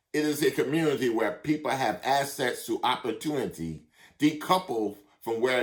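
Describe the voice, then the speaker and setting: A man's moderate-paced speech with lively intonation and vocal fry. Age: 60s. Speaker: minister. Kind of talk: sermon.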